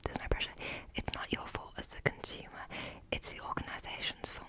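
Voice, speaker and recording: A woman whispers at a fairly quick pace in a relaxed tone, with noticeable background noise. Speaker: ASMR creator. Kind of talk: ASMR haul and ramble, casual talk to camera. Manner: relaxed, lo-fi, close-whispered.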